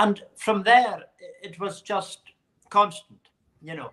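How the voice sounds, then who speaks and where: This voice has a bright, sharp tone and a Hebridean accent, moving at a moderate pace. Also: man. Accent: Hebridean Scottish. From Scottish Hebrides (South Uist). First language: Scottish Gaelic. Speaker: Gaelic singer. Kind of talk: interview. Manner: halting, repeats words.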